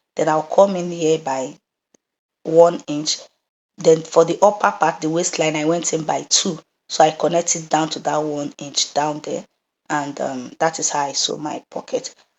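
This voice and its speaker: The woman's voice is very deep and low. Her intonation remains fairly even. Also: moderate pace. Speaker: sewing instructor. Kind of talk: tutorial. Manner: casual, with hesitations.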